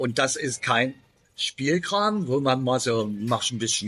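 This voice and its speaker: A man of medium pitch talks with lively intonation. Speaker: YouTuber, expat remote worker. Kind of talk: casual vlog monologue. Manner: unscripted, with many filler pauses.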